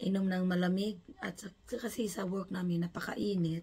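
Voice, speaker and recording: A woman speaks at medium pitch and a fairly slow pace, her intonation monotone and flat. Her voice is somewhat breathy, with a dark, mellow tone. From Philippines. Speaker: vlogger. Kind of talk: unboxing vlog.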